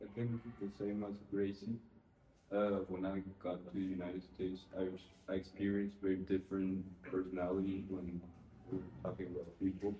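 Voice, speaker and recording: A man speaks at a fairly quick pace with a very deep, low pitch. His intonation is monotone and flat, and his voice is somewhat breathy. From Mexico. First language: Spanish. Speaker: student guest. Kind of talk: interview. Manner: hesitant, with fillers.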